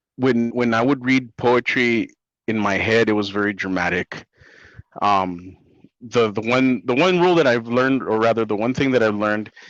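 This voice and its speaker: Here is a man with a Spanish accent. His pitch is medium. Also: ordinary pitch variation, moderate pace. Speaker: comic book writer. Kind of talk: interview. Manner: hesitant, many fillers.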